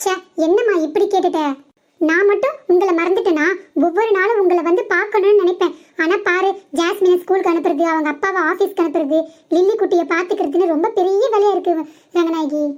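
A woman's cartoonish character voice at an extremely high pitch, with a moderate pace, fairly even intonation and very even loudness

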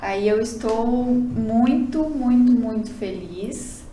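A woman's fairly high voice comes through with audible room echo. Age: young. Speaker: beauty pageant contestant. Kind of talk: casual interview. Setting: studio. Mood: happy, grateful. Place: meeting room.

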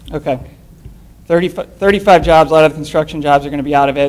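Very fast talk from a man. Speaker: citizen commenter, op-ed writer; citizen commenter. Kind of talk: public comment. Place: meeting room. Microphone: podium.

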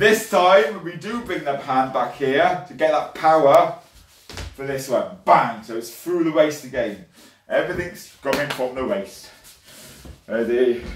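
A man's fairly high voice at a fairly slow pace, with audible room echo and light background noise. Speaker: martial arts instructor. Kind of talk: online fitness class, instructing exercises and counting down. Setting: video call. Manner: brisk, encouraging, commanding; clear, rhythmic, upbeat coaching cues. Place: home room. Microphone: webcam.

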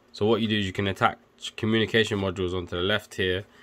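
A man speaks in a flat monotone with a very deep, low pitch. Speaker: electrical engineer and tech video maker. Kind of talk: casual tutorial. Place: home room.

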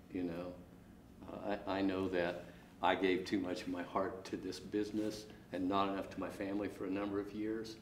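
A man with an American accent talks in a fairly low pitch and a monotone, flat intonation. Audible room echo and light background noise sit behind him. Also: moderate pace. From northeast Kansas. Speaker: custom harvester. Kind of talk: interview. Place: empty room.

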